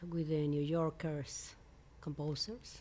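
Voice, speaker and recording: Speaking very slowly with a Mexican accent, a woman has a dark, mellow tone. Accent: Mexican Spanish accent, non-native English. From Mexico. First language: Spanish. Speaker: composer. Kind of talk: interview. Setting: filmed at a music venue. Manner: halting, with frequent hesitations.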